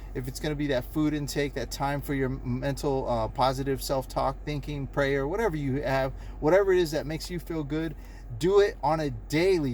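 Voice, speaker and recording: There is audible room echo as a man with a fairly high pitch talks at a fairly quick pace. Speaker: motivational vlogger. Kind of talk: motivational monologue. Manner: fast; animated.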